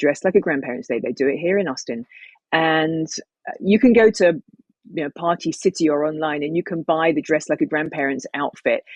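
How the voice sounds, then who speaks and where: At a fairly quick pace, a woman speaks with a very deep, low pitch and ordinary pitch variation, the sound dry and close with no echo. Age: 50s. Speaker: former stand-up comic and tea business owner. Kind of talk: casual chat.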